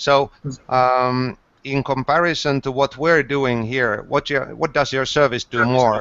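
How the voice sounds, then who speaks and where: A man with a Finnish accent and fairly even intonation. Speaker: sales mentor. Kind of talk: startup mentoring Q&A.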